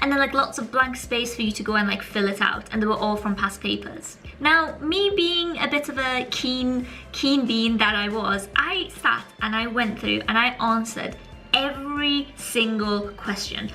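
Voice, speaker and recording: With music in the background and audible room echo, a woman with a British accent speaks in an animated tone at a fairly high pitch with ordinary pitch variation. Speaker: YouTuber, student vlogger. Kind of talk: casual vlog advice. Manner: fast.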